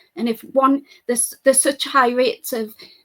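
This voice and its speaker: Someone with an English accent talks with fairly even intonation. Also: woman. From United Kingdom. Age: 40s. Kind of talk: interview.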